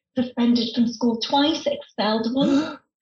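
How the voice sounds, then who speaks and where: With a northern English accent, a woman speaks at a high pitch and moderate pace, her pitch varying in an ordinary way. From northern England. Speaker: former stand-up comedian, humour consultant. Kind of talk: casual chat.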